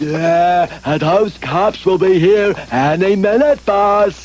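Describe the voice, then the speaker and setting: In a cartoonish character voice with a high pitch, a man talks at a very slow pace over clear background noise. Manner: slow, halting, full of uh.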